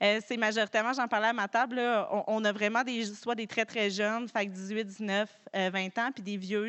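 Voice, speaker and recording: A woman talks in a Quebec accent. Her pitch is medium, and her intonation is fairly even. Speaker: farm organization director. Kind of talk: conference talk. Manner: fast; hesitant, many fillers.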